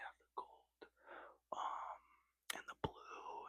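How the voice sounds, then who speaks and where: Whispering at a very slow pace, a man is heard in a dry, close sound with no echo. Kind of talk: casual talk to camera. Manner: whispered.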